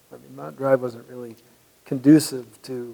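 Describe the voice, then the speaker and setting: A man with a Californian accent, medium in pitch, at a fairly slow pace. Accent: American, Californian. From California, Santa Barbara. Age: 70s. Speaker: artist. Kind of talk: oral history interview. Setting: museum. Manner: halting.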